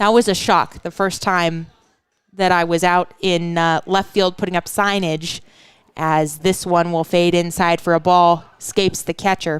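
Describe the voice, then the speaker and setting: A woman speaks at a fairly slow pace with a Pacific Northwest accent. Her voice is fairly low-pitched and monotone, with flat intonation. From Western Washington. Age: 20s. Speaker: baseball play-by-play announcer. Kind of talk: live commentary. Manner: casual, chatty.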